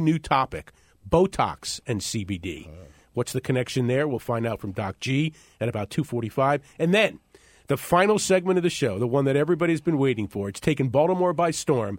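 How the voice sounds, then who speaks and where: Recorded dry and close with no echo, a man speaks at a fairly high pitch with very wide pitch swings. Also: very clean recording, silent background. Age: 50s. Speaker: radio talk show host. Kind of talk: radio talk show.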